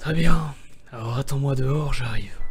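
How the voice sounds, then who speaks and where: In a raspy, put-on character voice, someone speaks at a moderate pace with fairly even intonation while faint music plays in the background. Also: man, medium pitch for a man. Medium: read story. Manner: warm, gentle.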